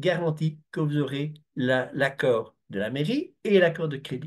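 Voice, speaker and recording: Against a quiet background, a man with a Belgian accent speaks at a fairly slow pace with lively intonation. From Belgium. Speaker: construction project consultant. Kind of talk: webinar presentation. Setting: video call. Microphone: video call.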